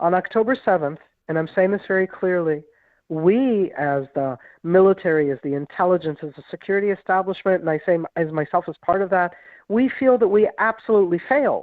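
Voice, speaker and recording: Her voice is a plain, everyday voice: a woman at a medium pitch with an American accent, talking at a fairly quick pace with lively intonation. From grew up in Israel, American-born. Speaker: retired military intelligence officer. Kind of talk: radio interview.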